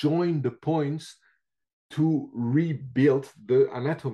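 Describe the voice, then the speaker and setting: A man talks with ordinary pitch variation. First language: not English. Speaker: reflexology teacher. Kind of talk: interview. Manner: halting with many fillers.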